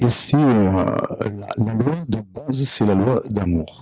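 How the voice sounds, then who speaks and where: A man with a Provençal accent speaks with ordinary pitch variation. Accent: southern French (Provençal). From Provence, southern France. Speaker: audience member. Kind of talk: audience question at a conference. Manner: hesitant, many fillers.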